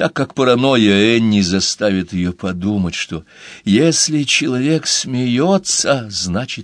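This is an unforced reading voice, and its intonation is lively.

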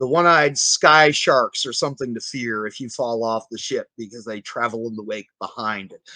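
A man with an American accent speaks at medium pitch and a moderate pace, with hardly any pauses and ordinary pitch variation. His bright, sharp tone shows big swings in loudness, in a dry, close sound with no echo. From US South, New Orleans. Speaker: game designer and writer. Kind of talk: podcast interview.

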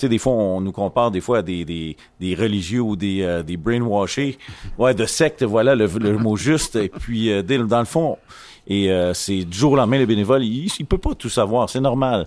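A man speaks in a Quebec accent at a moderate pace. His pitch is fairly low with ordinary variation. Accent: Québécois French. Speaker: volunteer association vice-president. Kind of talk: casual chat. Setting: makeshift studio at an event.

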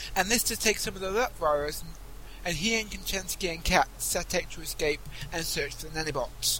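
The man talks fairly quickly. Background noise is noticeable throughout. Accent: British. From Britain. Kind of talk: scripted narration; casual chat.

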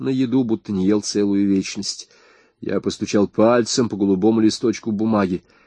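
A natural voice reading aloud, its intonation fairly even.

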